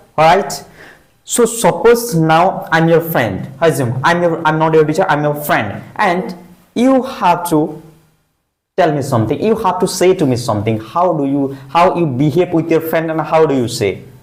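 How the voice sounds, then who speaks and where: Lively intonation from a man at a fairly high pitch and moderate pace, with audible room echo. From India. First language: Hindi. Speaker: English teacher. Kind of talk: classroom speaking practice.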